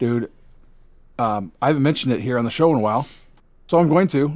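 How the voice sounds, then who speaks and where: A man with a Midwestern accent and medium pitch, on a very clean recording with a silent background. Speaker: gaming podcast co-host. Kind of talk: casual chat. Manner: clipped consonants.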